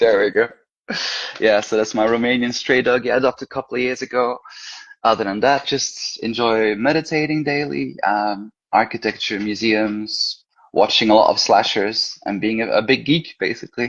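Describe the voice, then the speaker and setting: Speaking at a moderate pace with a Belgian accent, a man keeps a medium pitch and ordinary pitch variation. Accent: Belgian Flemish accent in English. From Belgium, Brussels. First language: Flemish. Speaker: horror author and teacher. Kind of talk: casual interview chat.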